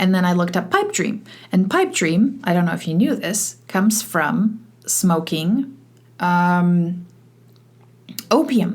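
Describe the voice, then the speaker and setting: The voice is somewhat breathy and moves at a very slow pace. Long, frequent pauses break it up. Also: woman, medium pitch for a woman, ordinary pitch variation. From Poland, moved to Canada at eleven. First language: Polish. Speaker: podcast host, e-learning consultant. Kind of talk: solo podcast monologue. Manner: casual, with many fillers and restarts.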